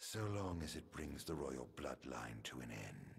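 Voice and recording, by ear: In a put-on character voice, a man drags along at a fairly slow pace with an extremely low pitch, big pitch swings and vocal fry.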